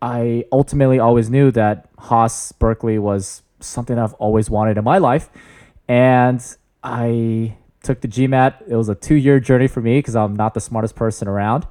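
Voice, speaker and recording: A man's dark, mellow tone at a moderate pace, with fairly even intonation. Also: very clean recording, silent background. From US Bay Area, California. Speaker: MBA student, veteran, photographer. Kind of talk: casual interview chat. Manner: loud.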